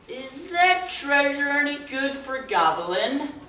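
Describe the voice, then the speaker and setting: Putting on a character voice, a woman speaks at a high pitch and a fairly slow pace, with a clear echo around her. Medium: stage play. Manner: greedy, gobbling.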